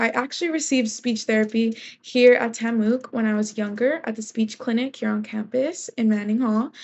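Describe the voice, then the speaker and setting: Talking at a moderate pace, a woman with a high pitch speaks in an American accent. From Texas, Corpus Christi. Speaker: university student. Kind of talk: class presentation. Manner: some hesitations and repetitions.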